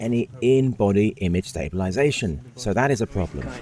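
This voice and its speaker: The speaker has a strong English accent, uses lively intonation, and keeps a moderate pace. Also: man. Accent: thick English. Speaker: filmmaker and camera reviewer. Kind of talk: tech review narration.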